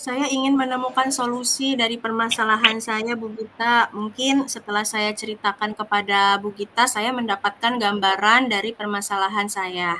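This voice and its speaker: Against noticeable background noise, a woman with a fairly high pitch talks at a moderate pace with fairly even intonation and hardly any pauses. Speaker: teacher (role-play coachee). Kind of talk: role-play coaching conversation. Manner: hesitant, many fillers.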